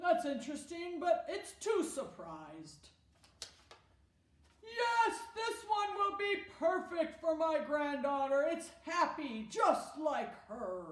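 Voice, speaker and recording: Putting on a character voice at an extremely high pitch, a woman talks very slowly, with a slight echo around her. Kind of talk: children's drama skit. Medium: solo performance.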